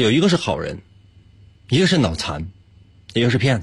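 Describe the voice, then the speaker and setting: With vocal fry and very wide pitch swings, a man talks at medium pitch. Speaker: radio host running a puzzle segment. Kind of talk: casual chat with listeners, explaining logic puzzles. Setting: live-streamed broadcast.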